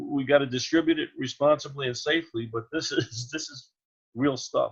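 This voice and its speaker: A man's fairly high, somewhat breathy voice at a moderate pace, with big swings in loudness. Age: 70s. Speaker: exercise trainer. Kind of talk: casual chat. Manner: animated.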